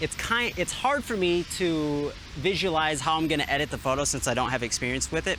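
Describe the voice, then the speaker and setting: Noticeable background noise sits under a man's fairly high voice. He talks at a fairly quick pace with lively intonation. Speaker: travel vlogger. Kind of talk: casual vlog talk. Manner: fast.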